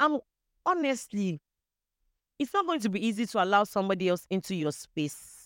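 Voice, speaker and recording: In a Nigerian accent, a woman at medium pitch makes very wide pitch swings and leaves long, frequent pauses, recorded with a dry, close sound and no echo. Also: moderate pace, very clean recording, silent background. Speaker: podcast guest sharing personal story. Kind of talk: personal testimony in casual chat.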